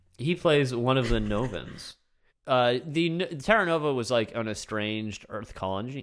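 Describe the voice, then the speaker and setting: At a moderate pace and medium pitch, a man talks with lively intonation in an ordinary speaking voice. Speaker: podcast host. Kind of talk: casual chat.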